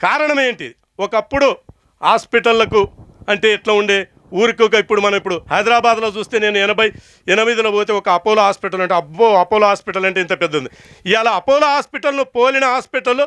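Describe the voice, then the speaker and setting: This man has a Telangana accent and a high pitch with a bright, sharp tone. The sound is dry and close with no echo, over a quiet background. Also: ordinary pitch variation. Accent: Telangana Telugu. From Telangana, Mahabubnagar district. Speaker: natural farmer. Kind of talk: speech to farmers' gathering. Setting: stage with audience.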